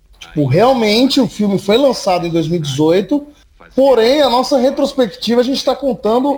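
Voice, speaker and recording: With lively intonation and very even loudness, a man talks at a moderate pace in an extremely high pitch. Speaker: horror podcast host. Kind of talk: casual chat.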